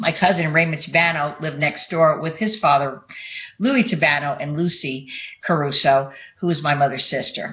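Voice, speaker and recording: A woman with a New York accent talks at a moderate pace in a very deep, low pitch. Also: ordinary pitch variation. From New York (Bronx). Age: 60s. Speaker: vlogger. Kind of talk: personal monologue to webcam. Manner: halting.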